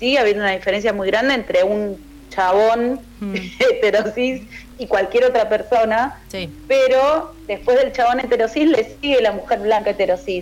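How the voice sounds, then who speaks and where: A woman's fairly high voice in a Buenos Aires accent, moderate in pace with ordinary pitch variation, against noticeable background noise. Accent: Rioplatense Spanish (Buenos Aires). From Argentina, western Greater Buenos Aires (Ituzaingó). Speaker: singer-songwriter and guitarist. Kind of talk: radio interview. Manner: hesitant, repeats words.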